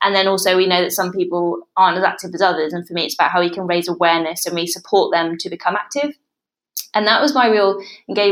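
Over a very clean recording with a silent background, the speaker talks at a very fast pace with ordinary pitch variation. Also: woman. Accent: British. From England. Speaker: researcher on parkrun research board. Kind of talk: casual interview.

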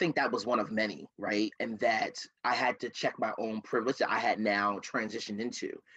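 A man with an American accent speaks at a fairly quick pace. His medium-pitched voice has a bright, sharp tone and ordinary pitch variation. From Camden, New Jersey. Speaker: diversity and inclusion director and consultant. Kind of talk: casual interview conversation.

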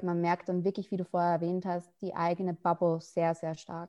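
A woman speaks at a medium pitch. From Austria (Salzburg). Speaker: podcast interviewer, ethnographic researcher. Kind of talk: interview conversation.

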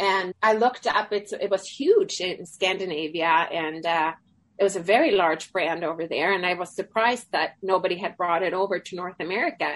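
A woman speaks at a medium pitch in a Swedish accent. She keeps a moderate pace with ordinary pitch variation. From Sweden. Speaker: charity founder. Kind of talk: interview.

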